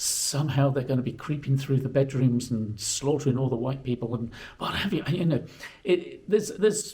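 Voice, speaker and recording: A man speaks at a fairly quick pace with fairly high pitch. There is noticeable background noise. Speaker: history vlogger. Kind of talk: casual vlog talk to camera. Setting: indoors. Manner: halting, many fillers.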